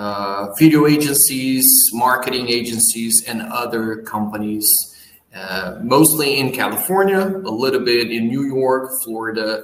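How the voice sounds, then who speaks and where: A man in a Portuguese accent, medium in pitch, with lively intonation and a fairly slow pace. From Brazil. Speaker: business owner. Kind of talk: interview.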